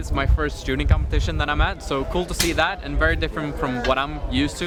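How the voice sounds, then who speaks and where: A man talks at a very fast pace in a Swedish accent. Noticeable background noise can be heard. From Sweden, Stockholm. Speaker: race car driver. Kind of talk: interview.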